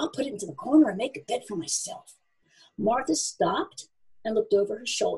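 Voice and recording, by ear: Lively intonation in a natural voice reading aloud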